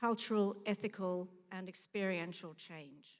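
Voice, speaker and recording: A woman with an Australian accent, her delivery monotone and flat. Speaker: museum director. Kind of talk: conference talk. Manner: halting.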